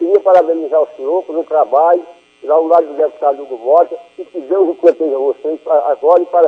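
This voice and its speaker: A man's plain, everyday voice at a fairly quick pace, with fairly even intonation and big swings in loudness. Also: fairly high pitch for a man. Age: 60s. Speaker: radio caller. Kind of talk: call-in question on radio.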